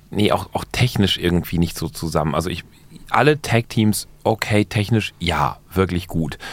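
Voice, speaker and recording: Pitch varies in an ordinary way as the speech moves along at a moderate speed. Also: man, very deep, low pitch for a man. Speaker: wrestling podcast host. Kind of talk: casual banter.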